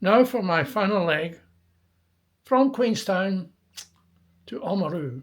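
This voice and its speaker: Pausing long and often, a man with a Scottish accent speaks at a very slow pace and a high pitch with lively intonation. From Scotland, near Stirling. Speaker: travel video maker. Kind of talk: travel vlog narration.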